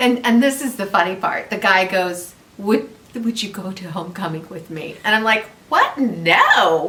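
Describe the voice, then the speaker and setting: The loudness swings widely, with audible room echo and noticeable background noise throughout. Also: woman, medium pitch for a woman, ordinary pitch variation, moderate pace. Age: 60s. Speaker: channel owner's mother. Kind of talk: casual chat. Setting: home video chat over wine.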